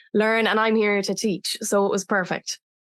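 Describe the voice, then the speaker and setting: Against a quiet background, a woman with an Irish accent speaks at a moderate pace, the sound dry and close with no echo. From Ireland. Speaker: breathwork facilitator. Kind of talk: podcast interview.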